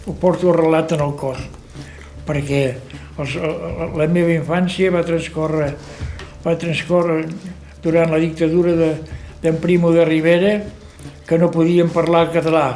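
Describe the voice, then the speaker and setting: Speaking fairly slowly in a high pitch, a man keeps a monotone, flat intonation and leaves long, frequent pauses. Noticeable background noise runs underneath. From Catalonia, Garrotxa. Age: 80s+. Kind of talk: documentary interview answer.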